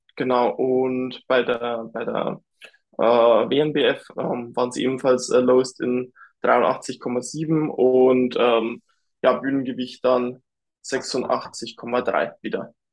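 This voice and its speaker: A medium-pitched man speaks at a very slow pace with monotone, flat intonation. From Lower Bavaria, Germany. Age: 20s. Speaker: bodybuilder. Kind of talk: casual chat.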